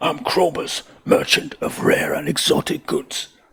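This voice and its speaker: In a put-on character voice, the man pitches himself high and keeps a moderate pace. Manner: theatrical.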